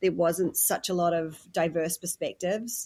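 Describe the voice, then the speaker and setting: In a very clean recording with a silent background, a woman with a medium pitch and a dark, mellow tone talks at a moderate pace. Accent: New Zealand. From New Zealand. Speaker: podcast host. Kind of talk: interview conversation.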